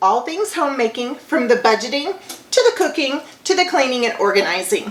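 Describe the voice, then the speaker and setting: Over noticeable background noise, a woman talks at a moderate pace in a high voice with very wide pitch swings. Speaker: homemaking vlogger. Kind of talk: cooking tutorial.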